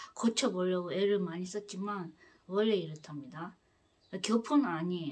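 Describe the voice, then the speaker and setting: Her voice sits at a medium pitch with ordinary pitch variation. The woman keeps a moderate pace. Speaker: spiritual lecturer, book reader. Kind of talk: lecture on the afterlife. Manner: hesitant with many fillers and restarts.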